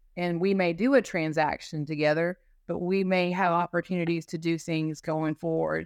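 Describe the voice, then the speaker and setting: A woman with an American accent speaks in a normal speaking voice at a moderate pace, her pitch fairly low and her intonation fairly even. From North Carolina mountains. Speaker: law firm business development director. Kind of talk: casual interview.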